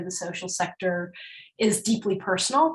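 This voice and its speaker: At a fairly slow pace, a woman speaks in a somewhat breathy voice at a medium pitch. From Northern Ireland. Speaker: nonprofit chief executive. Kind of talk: interview.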